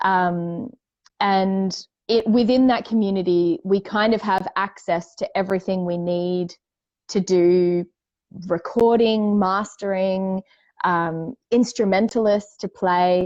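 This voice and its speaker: A woman with an Australian accent speaks very slowly at a medium pitch, her intonation fairly even. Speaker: indie singer-songwriter. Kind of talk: casual chat.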